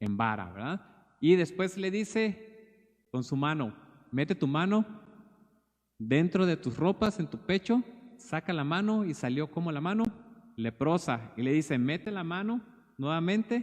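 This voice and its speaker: Pitch swings very widely at a fairly slow pace, broken by long, frequent pauses. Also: man, high pitch for a man. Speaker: preacher. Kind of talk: sermon.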